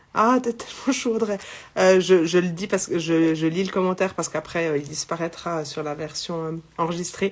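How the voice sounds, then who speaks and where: The voice moves at a moderate pace with ordinary pitch variation over noticeable background noise. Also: woman, fairly low pitch for a woman. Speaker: psychic medium. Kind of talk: live spiritual guidance. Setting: livestream. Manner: loud; halting.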